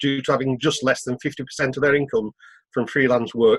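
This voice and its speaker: The sound is dry and close with no echo. The speaker has a British accent. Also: man. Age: 60s. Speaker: freelance TV worker. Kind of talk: meeting question.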